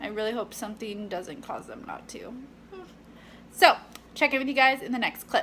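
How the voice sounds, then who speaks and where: A woman's high-pitched voice with lively intonation, moderate pace, and long, frequent pauses, against noticeable background noise. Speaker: fitness vlogger and personal trainer. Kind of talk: casual vlog. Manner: chatty, filler-heavy.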